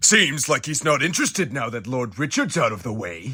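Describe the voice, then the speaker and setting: A man does a cartoonish character voice at a medium pitch with very wide pitch swings. His pace is fairly quick. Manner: blunt, matter-of-fact.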